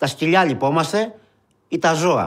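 A man's high-pitched voice with ordinary pitch variation, against a quiet background. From Greece (Peloponnese and Epirus roots); Greece. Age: 40s. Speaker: unemployed marketing worker, soup kitchen organiser; interviewee. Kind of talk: testimony. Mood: indignant, emotional. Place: studio.

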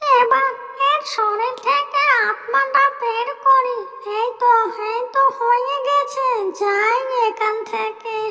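A female-sounding cartoonish character voice speaks at an extremely high pitch and a fairly slow pace. There is clear echo and clear background noise. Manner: gleeful, scheming.

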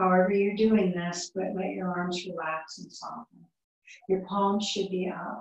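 In a room with audible echo, a woman speaks at a fairly slow pace at medium pitch with monotone, flat intonation. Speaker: yoga teacher. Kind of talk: guided relaxation in shavasana; guided yoga class instruction. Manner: soft, soothing, slow. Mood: calm, soothing. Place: home room. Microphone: camera far.

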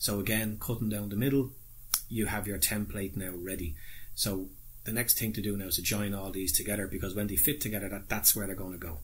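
Very fast speech from a man, somewhat breathy and fairly low in pitch, with ordinary pitch variation. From Ireland. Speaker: model railway hobbyist YouTuber. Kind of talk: tutorial. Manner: casual, hesitant with fillers. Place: home room. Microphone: phone near.

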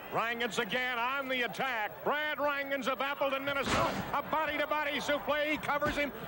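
A man's raised, projected voice at very even loudness, dry with no echo, over noticeable background noise. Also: hardly any pauses. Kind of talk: live wrestling commentary. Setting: arena broadcast. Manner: animated, rapid play-by-play calling.

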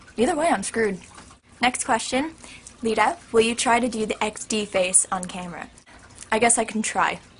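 A woman talks at a moderate pace with ordinary pitch variation, leaving long, frequent pauses, while noticeable background noise sits behind her. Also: fairly high pitch for a woman. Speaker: YouTuber. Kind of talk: casual vlog Q&A. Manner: animated.

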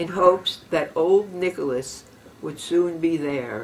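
A woman speaks at a very slow pace in a fairly low voice. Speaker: poetry reader. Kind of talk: dramatic reading of a parody poem. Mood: wry, satirical. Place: home room. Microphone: camera far.

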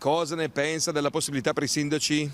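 A man's fairly high voice at a very fast pace, with ordinary pitch variation, a dry sound with no echo, and light background noise. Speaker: TV reporter. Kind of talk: vox pop street interviews. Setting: outdoors on the street. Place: street. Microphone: handheld.

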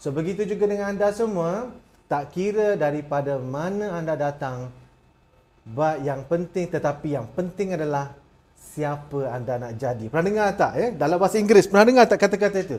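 A man's high-pitched voice with lively intonation. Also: moderate pace. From Malaysia, rural village. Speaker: motivational speaker. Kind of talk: motivational talk. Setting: webinar. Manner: animated. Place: studio. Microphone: lapel.

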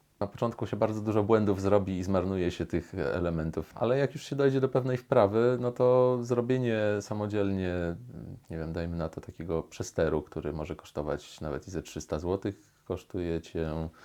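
Very deep, low-pitched man with lively intonation and a moderate pace. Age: 30s. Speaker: musicologist and musician. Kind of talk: personal interview monologue. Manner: halting, with fillers and repetitions.

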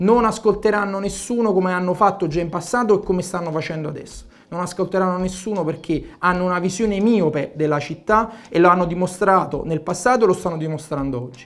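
Words come at a very fast pace. The pitch shows ordinary variation. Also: man, high pitch for a man. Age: 30s. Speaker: mayoral candidate, career soldier; candidate. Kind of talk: political interview. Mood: critical, earnest. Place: studio. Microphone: lapel.

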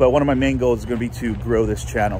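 Light background noise under a man's dry, echo-free voice. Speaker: vlogger. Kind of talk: casual vlog chat. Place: waterside. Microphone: phone near.

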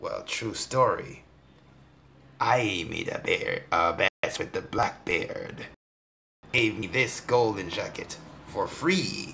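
A man's raspy, put-on character voice at a very slow pace, with long, frequent pauses. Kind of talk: gameplay commentary in character. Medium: role play.

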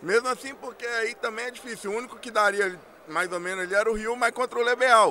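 Raised and projected, a man's extremely high-pitched voice races at a very fast pace with a bright, sharp tone. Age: 30s. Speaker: fighting game player. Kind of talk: winner's speech.

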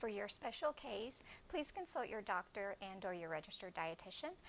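With light background noise, a woman speaks at a fairly quick pace. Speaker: presenter. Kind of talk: cooking demo presentation. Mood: friendly, upbeat.

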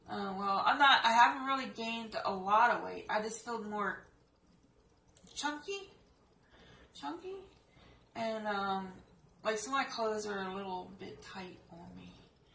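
Fairly slow speech with long, frequent pauses, a bright, sharp tone, big swings in loudness, ordinary pitch variation, audible room echo and light background noise. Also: woman. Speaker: home vlogger. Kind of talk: casual vlog chat. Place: kitchen. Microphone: webcam.

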